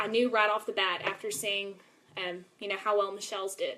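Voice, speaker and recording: The woman's voice has a medium pitch. Her intonation is fairly even. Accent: Texas. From East Texas (Longview). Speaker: network marketing seller. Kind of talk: live video presentation. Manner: casual, filler-heavy.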